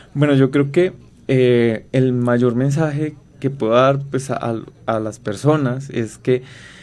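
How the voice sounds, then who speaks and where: A man with a Colombian accent, medium pitch, fairly even intonation and a very slow pace. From Colombia, inland region. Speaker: researcher, biologist. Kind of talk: radio interview. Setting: radio studio. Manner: halting, many fillers.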